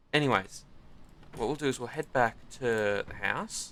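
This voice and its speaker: With an Australian accent, a man delivers his words at a moderate pace. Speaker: gaming YouTuber. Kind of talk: gameplay commentary. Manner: casual, hesitant with many ums; loud.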